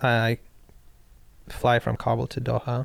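The recording is very clean with a silent background as a man talks very slowly. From Pakistan. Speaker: former hostage and former special operations intelligence worker. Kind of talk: casual interview storytelling. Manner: hesitant, filler-heavy, humorous.

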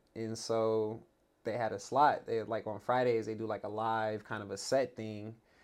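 This is a man with a medium pitch. His intonation is monotone and flat. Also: moderate pace. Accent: Californian. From Los Angeles, San Fernando Valley. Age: 30s. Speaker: former pro basketball player. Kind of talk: casual interview chat. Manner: halting, many repeated words.

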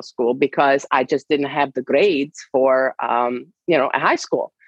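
A woman with a Hungarian accent at a fairly slow pace. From Hungary. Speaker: sports science professor. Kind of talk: interview.

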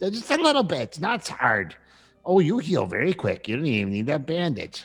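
At a moderate pace, a man puts on a character voice pitched high. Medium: actual play. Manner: chatty, rambling, easily fascinated.

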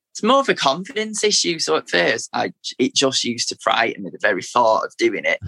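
A man talks with a Manchester accent. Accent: Mancunian, Manchester. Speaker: teacher and spoken word poet. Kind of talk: interview, poetry reading.

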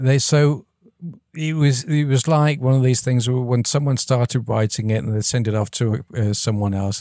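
With a slight English accent, a man at medium pitch talks at a fairly quick pace with ordinary pitch variation. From England. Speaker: audio software founder. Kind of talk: casual interview. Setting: video call.

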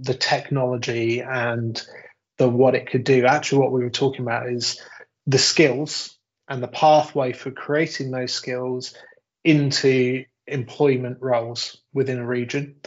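A man with a medium-pitched voice speaks in an ordinary speaking voice. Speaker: technology company director. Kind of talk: interview conversation.

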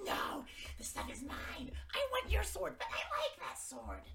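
An excited, put-on character voice at a moderate pace, against loud background noise. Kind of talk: comic overacting. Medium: actual play. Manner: bickering, greedy, excited.

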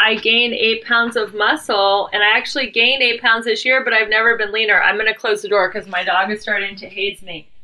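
The speech comes at a fairly quick pace with fairly even intonation and hardly any pauses. Noticeable background noise is present. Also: woman, fairly high pitch for a woman. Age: 50s. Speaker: podcast host, success mentor. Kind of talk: casual interview.

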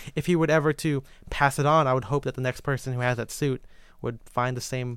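A man with an American accent has a plain, everyday voice at a medium pitch with fairly even intonation. The recording is very clean with a silent background. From Filipino-Chinese family, US. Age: 20s. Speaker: menswear writer and photographer. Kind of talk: casual chat.

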